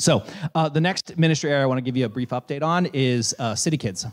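The man's speech runs at a fairly quick pace. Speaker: pastor. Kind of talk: sermon. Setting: church. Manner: fast; halting.

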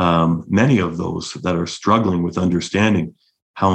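Fairly level intonation from a man with a very deep, low pitch, moving at a moderate speed. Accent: Canadian. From London, Ontario, Canada. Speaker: executive director of youth treatment center. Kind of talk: interview.

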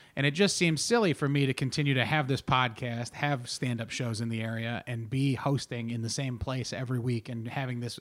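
The speech comes at a fairly quick pace in an animated tone. The recording is very clean, with a silent background. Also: man. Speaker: podcast host and comedian. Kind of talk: casual chat. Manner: animated, bantering.

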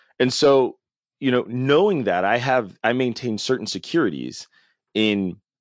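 A man speaks at a fairly slow pace. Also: quiet background. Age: 30s. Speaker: podcast host. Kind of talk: casual chat. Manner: halting.

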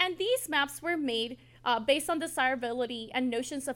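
Speech comes at a moderate pace. Its pitch shifts in an ordinary way. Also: woman. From Ciudad Juarez, Mexico; moved to US in 2000. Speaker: history professor. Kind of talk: presentation to a live audience.

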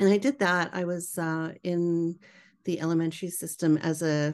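A woman with a Canadian accent, a plain, everyday voice, fairly low in pitch with fairly even intonation, over a quiet background. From Canada, British Columbia. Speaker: educator and author. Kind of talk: interview.

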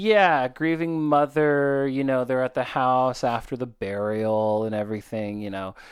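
This man has a medium pitch and lively intonation. He barely pauses at all. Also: fairly slow pace. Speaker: podcast host. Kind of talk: casual chat. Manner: animated, casual.

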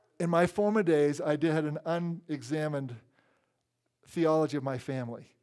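A plain, everyday voice from a man, fairly high-pitched with ordinary pitch variation, on a very clean recording with a silent background. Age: 60s. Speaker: priest. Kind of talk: sermon.

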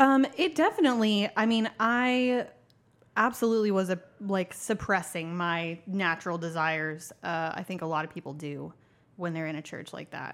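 In a very clean recording with a silent background, a woman with a plain, everyday voice speaks at a moderate pace and medium pitch, her intonation lively. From Tulsa, Oklahoma. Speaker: guest sharing her life story. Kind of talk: casual interview chat.

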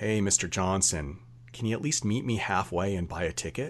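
Putting on a character voice, a man speaks at a moderate pace and a fairly low pitch. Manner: wry, teasing.

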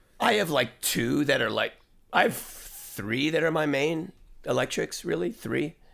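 An American-accented man with vocal fry talks at a fairly slow pace and fairly high pitch, his pitch swinging very widely between long, frequent pauses. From New York City. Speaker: session guitarist and musician. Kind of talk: casual interview chat. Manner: joking, self-deprecating.

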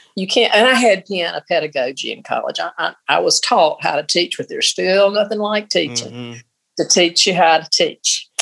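A woman at medium pitch with a Southern US accent, vocal fry and very wide pitch swings. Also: moderate pace. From Mississippi. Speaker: church choir member and retired piano teacher. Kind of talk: casual interview.

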